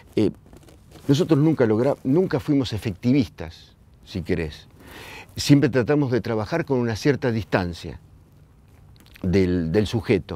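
In a Rioplatense accent, a man with a dark, mellow tone talks at a fairly slow pace with very wide pitch swings and long, frequent pauses, in a dry sound with no echo. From Argentina, La Plata; Argentina. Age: 60s. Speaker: filmmaker. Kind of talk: oral history testimony. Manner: halting, with repetitions. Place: hall. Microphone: lapel.

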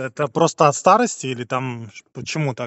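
A man speaks at medium pitch and a fairly quick pace with ordinary pitch variation. His tone is fairly bright.

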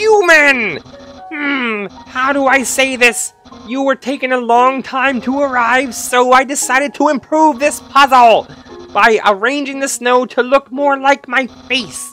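In a put-on character voice pitched high, the speaker goes at a fairly slow pace as faint music plays in the background. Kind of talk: comic overacting. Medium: game stream. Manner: loud, theatrical, boastful, enthusiastic.

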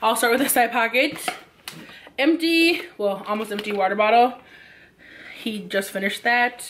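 With audible room echo, a woman speaks at a fairly slow pace in a fairly high pitch, her tone fairly bright and her pitch varying in an ordinary way.

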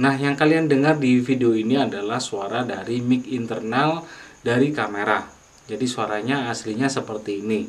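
A man at a medium pitch with ordinary pitch variation, a moderate pace and audible room echo. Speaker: YouTuber, music tutorial maker. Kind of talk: tutorial. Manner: casual, hesitant with fillers.

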